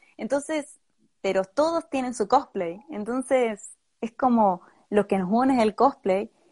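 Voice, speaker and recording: A woman's fairly high, lively voice at a fairly slow pace, a normal speaking voice, dry and close with no echo. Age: 20s. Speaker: cosplayer. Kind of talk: interview. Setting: live video stream.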